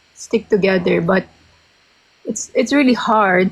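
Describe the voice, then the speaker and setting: A woman with a Filipino accent speaks at a medium pitch with fairly even intonation. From Philippines. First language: Tagalog. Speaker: interviewee sharing personal story. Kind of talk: interview. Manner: halting, code-switching.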